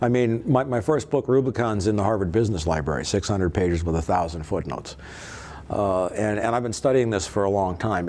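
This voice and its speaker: Through noticeable background noise comes a man with an American accent, his fairly low voice carrying lively intonation. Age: 60s. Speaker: author and former police investigator. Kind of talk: interview. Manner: repetitive, stammering starts.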